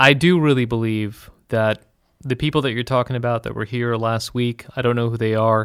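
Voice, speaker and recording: A man with an American accent speaks in a normal speaking voice at a medium pitch, using fairly even intonation at a moderate pace, in a very clean recording with a silent background. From United States. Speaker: trip organizer and commentator on Israel. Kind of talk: interview.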